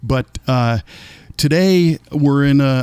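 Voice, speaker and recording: This man has a plain, everyday voice at medium pitch, with an American accent, ordinary pitch variation, and a dry, close sound with no echo. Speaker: podcast host. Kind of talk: casual interview.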